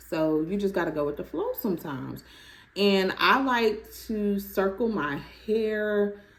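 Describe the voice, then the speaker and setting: The speaker is a woman. Her pitch varies an ordinary amount. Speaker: natural hair vlogger. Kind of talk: product review vlog. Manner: animated.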